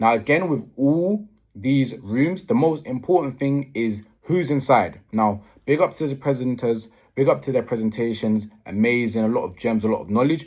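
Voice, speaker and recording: Against a quiet background, a man with a British accent speaks at a medium pitch with lively intonation. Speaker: property investor vlogger. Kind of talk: vlog. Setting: hotel room. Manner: fast.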